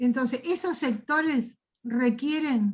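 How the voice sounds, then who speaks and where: A woman talks with a high pitch. The variation in her pitch is ordinary. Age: 60s. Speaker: political activist, seminar participant. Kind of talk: discussion in online seminar.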